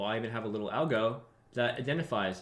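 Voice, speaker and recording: In a room with audible echo, a man speaks at a medium pitch and a fairly quick pace, his tone animated and his pitch variation ordinary. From born in Russia, grew up in London, New York and Texas. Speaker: trading educator. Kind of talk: live trading tutorial stream. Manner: fast; casual, animated.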